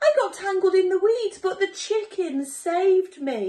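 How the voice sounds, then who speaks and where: In a put-on character voice, a woman squeaks at an extremely high pitch. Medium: read story.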